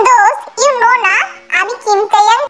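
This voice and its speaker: A woman puts on a character voice. It is squeaky and extremely high in pitch. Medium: read story. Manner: loud, brash.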